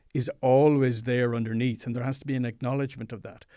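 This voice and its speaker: A man with an Irish accent speaks at a fairly quick pace and medium pitch. His tone is dark and mellow, on a very clean recording with a silent background. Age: 50s. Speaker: psychologist and meditation teacher. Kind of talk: interview.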